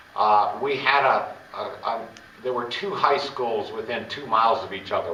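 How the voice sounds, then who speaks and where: A man is speaking with audible room echo. There is noticeable background noise. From Virginia, near Charlottesville. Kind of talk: oral history interview.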